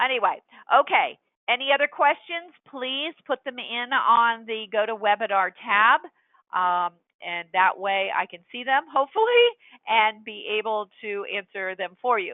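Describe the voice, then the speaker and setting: Delivered at a fairly slow pace, a normal speaking voice carries lively intonation and big swings in loudness. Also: woman, fairly high pitch for a woman. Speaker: software trainer. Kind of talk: webinar tutorial. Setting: webinar with screen share.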